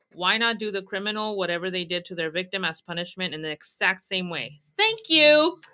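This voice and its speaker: An unremarkable speaking voice moves at a fairly quick pace with lively intonation and hardly any pauses. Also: woman, medium pitch for a woman. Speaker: true crime podcast co-host. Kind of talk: casual chat. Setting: live stream.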